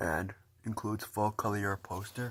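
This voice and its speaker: This man has a very deep, low voice with vocal fry. The recording is very clean, with a silent background. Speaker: vinyl collector vlogger. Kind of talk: casual show-and-tell video. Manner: fast.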